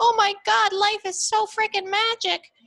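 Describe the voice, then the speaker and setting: Squeaky and clearly put on, this character voice moves at a moderate pace. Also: female-sounding voice, extremely high pitch for a woman. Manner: awestruck, excited.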